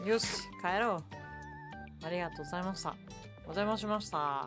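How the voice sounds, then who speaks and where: Over music in the background, a woman speaks at a moderate pace. Her pitch is fairly low, with ordinary pitch variation. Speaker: virtual streamer. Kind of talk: casual live-stream talk.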